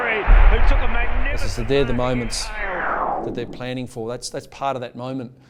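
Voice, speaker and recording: There is noticeable background noise as a man with an Australian accent speaks with ordinary pitch variation. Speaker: football fitness coach. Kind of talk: documentary interview.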